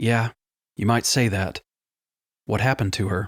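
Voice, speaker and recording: A man's raspy, put-on character voice at medium pitch and moderate pace, on a very clean recording with a silent background. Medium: read story.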